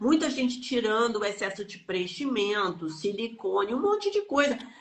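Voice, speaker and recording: Over noticeable background noise, the speaker uses lively intonation at a moderate pace. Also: woman, fairly high pitch for a woman. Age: 60s. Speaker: energy healing teacher. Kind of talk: live stream chat. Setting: online live stream. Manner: animated.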